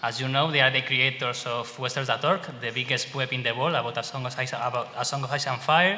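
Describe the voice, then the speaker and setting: A man with a Spanish accent speaks at a very fast pace with hardly any pauses. His medium-pitched voice keeps fairly even intonation. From Spain. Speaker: fan website administrator and panel moderator. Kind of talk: panel discussion moderation. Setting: convention panel with audience. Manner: halting.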